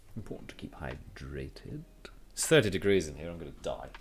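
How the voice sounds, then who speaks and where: A man with a British accent speaks in a calm, relaxed tone over music in the background. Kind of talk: casual livestream talk to viewers. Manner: calm, chill, relaxed.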